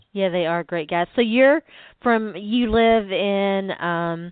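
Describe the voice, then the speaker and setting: A strong Southern US accent comes with ordinary pitch variation. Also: woman. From US South. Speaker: sports podcast host. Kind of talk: casual interview.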